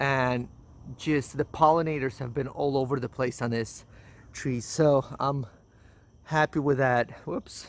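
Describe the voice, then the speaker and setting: A man at medium pitch speaks at a fairly slow pace with long, frequent pauses and fairly even intonation, on a very clean recording with a silent background. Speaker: home gardener vlogger. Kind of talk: garden tour vlog. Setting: outdoors in garden. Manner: halting, repeats words.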